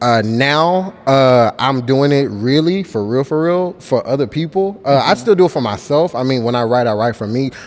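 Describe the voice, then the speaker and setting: A man speaks in an ordinary speaking voice at medium pitch and a moderate pace, his intonation lively and his pauses hardly any, on a very clean recording with a silent background. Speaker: spoken word poet. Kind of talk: interview answer. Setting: studio interview. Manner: casual, conversational.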